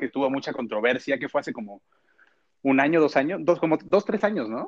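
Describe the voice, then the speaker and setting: His voice sits fairly high for a man. The intonation rises and falls in a lively way. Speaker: podcast co-host. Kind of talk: casual chat. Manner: animated.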